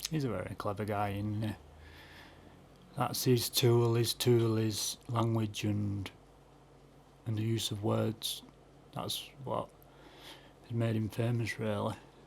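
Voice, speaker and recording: Speaking at a very slow pace with long, frequent pauses, a man sounds somewhat breathy and keeps a monotone, flat intonation. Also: medium pitch for a man. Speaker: YouTube reaction video maker. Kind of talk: casual reaction commentary. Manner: hesitant, many fillers.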